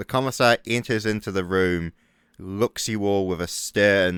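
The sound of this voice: The speaker uses an unforced reading voice. Nothing is pushed or strained.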